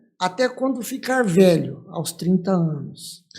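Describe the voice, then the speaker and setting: At a fairly slow pace, a man speaks with a dark, mellow tone and lively intonation. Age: 60s. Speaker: church leader, pastor. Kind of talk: testimony.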